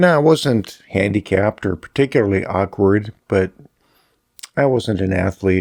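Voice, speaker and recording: At a moderate pace, a man with a fairly low pitch and ordinary pitch variation talks in a normal speaking voice, dry and close with no echo, on a very clean recording with a silent background. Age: 60s. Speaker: personal storyteller. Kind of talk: personal reflection monologue. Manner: casual, conversational.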